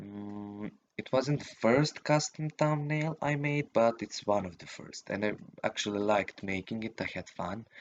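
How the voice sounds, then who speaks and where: A man speaks with a non-native accent. His loudness swings widely. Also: medium pitch for a man, ordinary pitch variation, moderate pace. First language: not English. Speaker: youtuber. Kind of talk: casual vlog monologue. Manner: halting, many fillers.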